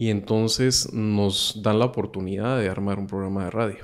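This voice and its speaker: In a very clean recording with a silent background, a man speaks slowly at a fairly low pitch with monotone, flat intonation. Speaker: radio host and podcaster. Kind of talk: casual chat.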